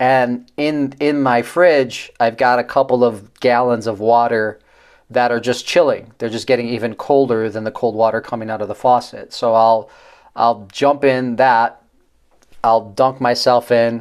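A man with a medium pitch delivers his words at a fairly slow pace. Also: fairly even intonation. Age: 40s. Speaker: podcast host. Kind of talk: casual monologue. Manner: halting, many fillers.

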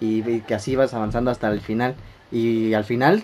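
A man with a Mexican accent, medium in pitch, at a moderate pace. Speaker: podcast host. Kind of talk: casual chat. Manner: animated.

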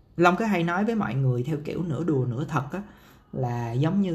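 Somewhat breathy and with lively intonation, a man speaks at a moderate pace amid audible room echo. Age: 30s. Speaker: podcast host, marketer. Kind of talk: solo podcast monologue. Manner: casual, many fillers.

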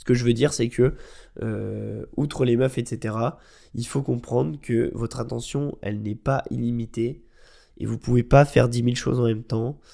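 A man's medium-pitched voice, dark and mellow, relaxed in tone, with fairly even intonation at a fairly slow pace, on a very clean recording with a silent background. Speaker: podcast host and marketing agency founder. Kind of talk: casual solo podcast talk. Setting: at home, quiet room. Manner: relaxed, hesitant with many fillers.

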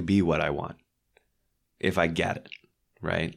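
Someone with an American accent is heard on a very clean recording with a silent background. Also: man. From Texas, Dallas. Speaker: hypnotherapist. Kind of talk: casual chat.

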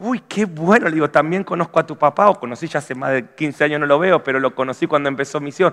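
Speaking very fast with hardly any pauses, a man uses a fairly high voice and ordinary pitch variation. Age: 40s. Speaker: pastor. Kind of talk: sermon. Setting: church.

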